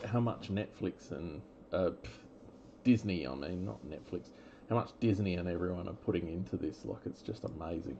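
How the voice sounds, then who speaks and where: With an Australian accent, a man speaks at a moderate pace in a very deep, low voice with vocal fry and lively intonation. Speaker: trading card breaker. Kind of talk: live card break commentary. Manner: casual, with many fillers.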